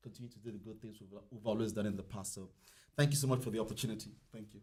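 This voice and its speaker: This man has an American accent and sounds somewhat breathy. His pitch varies in an ordinary way. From outside the US. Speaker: company representative. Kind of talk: public meeting remarks.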